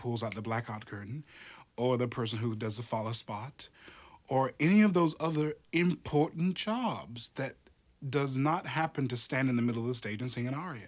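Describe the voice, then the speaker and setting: A man with a normal speaking voice at medium pitch, moderate pace, and lively intonation, against a quiet background. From US South, North Carolina. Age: 30s. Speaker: opera chorus singer. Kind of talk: interview testimony.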